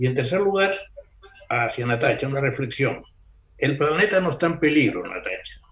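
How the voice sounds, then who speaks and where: A man talks with lively intonation and long, frequent pauses. Audible room echo and noticeable background noise accompany him. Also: fairly high pitch for a man, moderate pace. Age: 80s+. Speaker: botanist. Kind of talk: casual chat.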